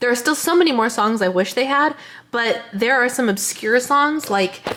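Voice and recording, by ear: Lively intonation carries a woman's fairly high, fairly bright voice. She keeps a moderate pace.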